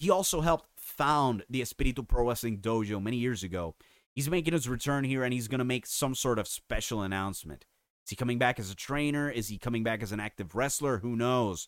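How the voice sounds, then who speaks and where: A man at a very fast pace, medium pitch and ordinary pitch variation, with an animated tone, on a very clean recording with a silent background. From Puerto Rico. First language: Spanish. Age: 30s. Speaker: wrestling podcast host and writer. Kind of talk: casual opinionated podcast talk. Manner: animated, opinionated.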